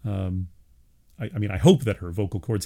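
In a very clean recording with a silent background, a man with a New York accent speaks very fast in a fairly low, somewhat breathy voice with a dark, mellow tone and ordinary pitch variation. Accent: New York area American. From US Northeast, Long Island, New York. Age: 50s. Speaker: college professor of religious studies, podcast host. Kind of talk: solo monologue podcast. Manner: hesitant, many fillers and restarts.

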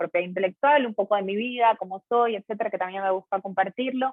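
A woman at medium pitch, very fast in pace, with fairly even intonation. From Ecuador, Guayaquil. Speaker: lawyer. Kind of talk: casual interview. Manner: conversational.

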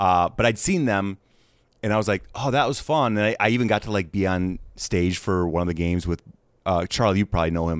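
In an ordinary speaking voice with an American accent, a man talks at a fairly quick pace and fairly low pitch, with ordinary pitch variation, very even loudness, and a very clean recording with a silent background. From Wisconsin, US Midwest. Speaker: actor and comedian. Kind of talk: casual chat.

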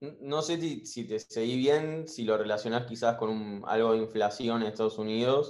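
A man with an unremarkable speaking voice talks at a fairly slow pace, pitched medium and showing ordinary pitch variation. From Argentina. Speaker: caller, university student. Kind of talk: casual chat.

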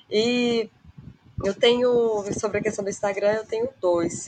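In an ordinary speaking voice, a woman talks at a moderate pace with a medium pitch. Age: 30s. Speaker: nutrition student, former lawyer, gamer. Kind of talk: casual chat.

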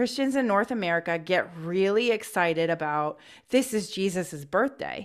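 A woman with an ordinary speaking voice talks at a moderate pace with lively intonation and very even loudness, on a very clean recording with a silent background. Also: medium pitch for a woman. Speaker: podcast co-host. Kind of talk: casual chat.

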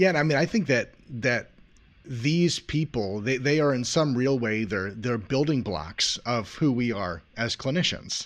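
A man's medium-pitched voice with lively intonation, fairly slow pace and a quiet background. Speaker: psychotherapist and podcast host. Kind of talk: interview conversation. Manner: halting, repeats words.

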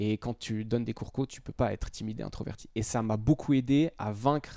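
A man's dark, mellow tone with a dry, close sound with no echo. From Switzerland, Lausanne. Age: 30s. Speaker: fitness coach. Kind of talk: interview.

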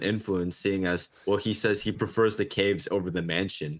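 Here is a man with an ordinary speaking voice and fairly low pitch. The recording is very clean, with a silent background. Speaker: podcast co-host. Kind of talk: casual podcast discussion.

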